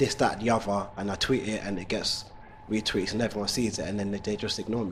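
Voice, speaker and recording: Over music in the background, a man rushes along at a very fast pace with a fairly low pitch and monotone, flat intonation. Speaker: male nanny, childcare business owner. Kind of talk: interview answer.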